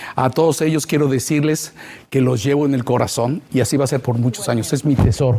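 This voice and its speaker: A man speaks at a very fast pace with fairly even intonation and a medium pitch. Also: very even loudness. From Mexico, Veracruz. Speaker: TV news reporter. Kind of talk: farewell interview.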